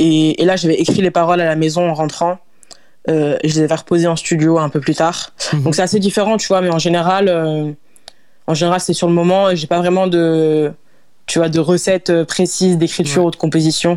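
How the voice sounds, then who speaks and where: A woman speaks at a fairly quick pace with long, frequent pauses, her dark, mellow, fairly low voice kept monotone and flat at a very even loudness. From France, Lyon. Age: 20s. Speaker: singer. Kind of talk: interview. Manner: halting.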